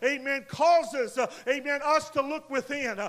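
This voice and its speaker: A man speaks in a raised, projected voice with an extremely high pitch and a bright, sharp tone. His intonation stays fairly even and his pace is fairly slow. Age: 40s. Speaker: pastor. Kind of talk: sermon. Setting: church.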